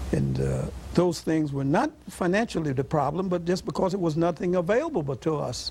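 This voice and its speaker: Against noticeable background noise, a man with a high pitch talks with ordinary pitch variation. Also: fairly quick pace. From US South. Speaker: longtime resident. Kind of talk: oral history interview.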